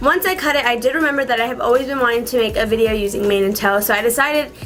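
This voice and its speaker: Over music in the background and audible room echo, a woman talks at a very fast pace in a high pitch with lively intonation. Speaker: beauty vlogger. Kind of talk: casual vlog tutorial.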